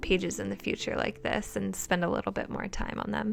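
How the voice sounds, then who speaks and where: Behind the words there is music, and the delivery keeps a moderate pace. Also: woman. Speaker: bullet journal YouTuber. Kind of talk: voiceover tutorial. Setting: recorded voiceover. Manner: casual, rambling with fillers.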